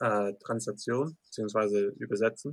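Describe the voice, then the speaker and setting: With an English accent and a bright, sharp tone, a man speaks at a very slow pace. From US, Lancaster, Pennsylvania. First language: English (speaking German). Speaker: professional MMA fighter. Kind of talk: interview.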